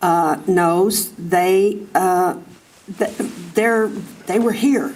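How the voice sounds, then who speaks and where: A woman in an American accent speaks at a medium pitch with ordinary pitch variation and audible room echo. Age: 80s+. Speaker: farmer and resident speaking at public comment. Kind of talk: public comment at city council meeting. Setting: city council chamber.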